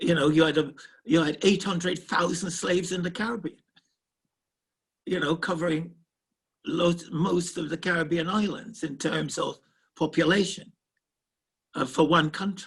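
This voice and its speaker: A man with a high pitch talks at a moderate pace, leaving long, frequent pauses. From Jamaica, Kingston. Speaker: professor. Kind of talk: Q&A talk. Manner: halting, repetitive starts.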